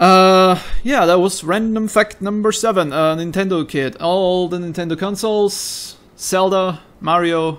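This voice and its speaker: A man with a German accent speaks at a fairly slow pace in a high pitch with ordinary variation. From Austria. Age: 20s. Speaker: gaming YouTuber. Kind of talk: casual chat. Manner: improvised, rambling.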